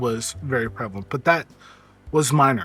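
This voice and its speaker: A quiet man speaks with ordinary pitch variation. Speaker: vtuber streamer. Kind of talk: casual livestream chat. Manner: quiet and reserved as himself.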